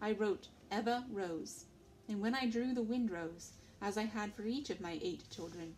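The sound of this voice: Text delivered in an unforced reading voice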